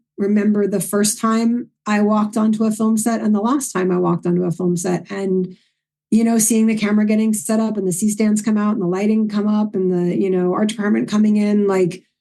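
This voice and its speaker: A woman's medium-pitched voice in a New York accent, dark and mellow in tone, at a moderate pace with very even loudness. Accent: New York accent, toned down. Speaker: filmmaker. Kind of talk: casual interview chat. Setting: podcast interview. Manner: animated.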